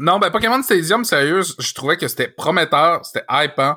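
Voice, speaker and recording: On a very clean recording with a silent background, a man with a fairly high pitch and a bright, sharp tone talks at a fairly quick pace, his pitch swinging very widely, with vocal fry. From Quebec City. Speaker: podcast co-host. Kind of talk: casual chat.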